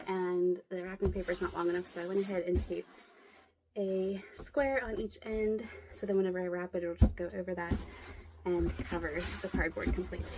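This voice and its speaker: A medium-pitched woman with an American accent at a fairly quick pace, fairly even intonation, over noticeable background noise. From Pennsylvania. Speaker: lifestyle vlogger. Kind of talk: casual chat while crafting.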